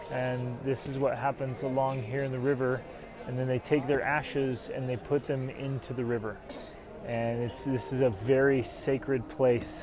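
A man at a moderate pace with monotone, flat intonation, a dry sound with no echo, and noticeable background noise. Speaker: travel vlogger. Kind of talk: casual vlog chat. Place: waterside. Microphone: lapel.

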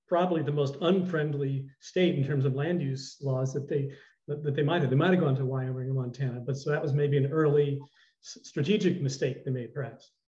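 Against a quiet background, a man talks at a fairly quick pace in a fairly high, somewhat breathy voice. His tone is dark and mellow, his intonation fairly even. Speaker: retired TV news reporter. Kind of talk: interview. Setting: video call. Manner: halting. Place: home room. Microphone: video call.

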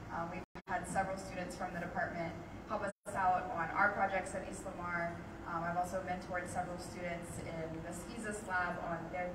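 Loud background noise accompanies a woman talking at a fairly quick pace. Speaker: speaker. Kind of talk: lecture. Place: hall. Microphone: handheld.

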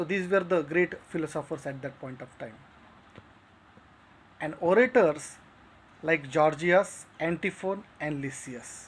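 A man at a fairly slow pace, with long, frequent pauses and big swings in loudness. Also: ordinary pitch variation. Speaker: literature teacher. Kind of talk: lecture. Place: home room. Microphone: phone near.

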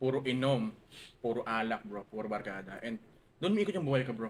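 A man talks at a very fast pace, his medium-pitched voice full of lively intonation. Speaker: logistics businessman. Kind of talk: casual chat. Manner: fast, sometimes stammering.

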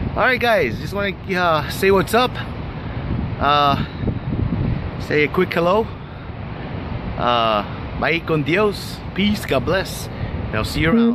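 Speaking very slowly with long, frequent pauses, a man uses a high voice that swings very widely in pitch. The sound is dry with no echo, and there is noticeable background noise. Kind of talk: casual vlog chat. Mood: uneasy about the height. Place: street. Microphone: phone near.

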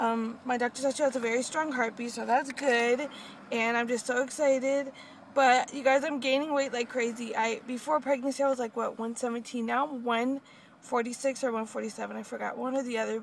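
With a high pitch and monotone, flat intonation, a woman speaks at a fairly quick pace. The recording is dry with no echo, over light background noise. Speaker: pregnant vlogger. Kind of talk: casual vlog chat. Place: car. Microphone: phone near.

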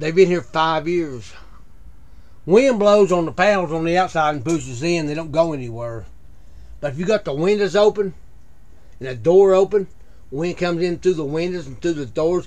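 A man at a moderate pace with long, frequent pauses, a fairly high pitch, ordinary pitch variation and a slightly mellow tone.

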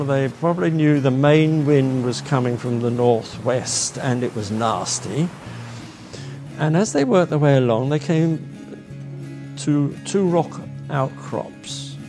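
A man talks fairly slowly as clear music sounds behind him. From England. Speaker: marine painter. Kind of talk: interview answer. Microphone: lapel.

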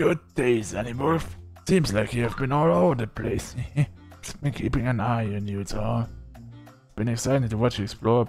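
Someone performs a put-on character voice at a moderate pace with ordinary pitch variation. Clear music plays in the background. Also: man, medium pitch for a man.

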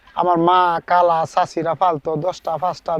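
With a dry, close sound and no echo, a man speaks. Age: 30s. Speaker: duck farmer. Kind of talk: interview.

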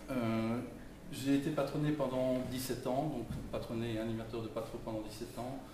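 Speech comes at a fairly slow pace with fairly even intonation. Noticeable background noise and audible room echo fill the recording. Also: man. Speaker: engineer, election candidate. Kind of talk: public speech. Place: hall.

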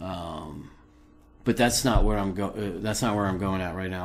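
At a moderate pace, a man talks in a fairly low pitch with an ordinary speaking voice. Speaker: video blogger conspiracy commentator. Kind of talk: angry rant. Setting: recorded solo video. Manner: indignant, accusatory, worked-up; urgent, addressing viewers directly.

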